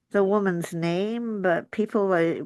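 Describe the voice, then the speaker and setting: The background stays quiet. Her pitch moves in an ordinary way as this woman talks. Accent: English. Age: 70s. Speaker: Ayurvedic practitioner and teacher. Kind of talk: podcast monologue. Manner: conversational.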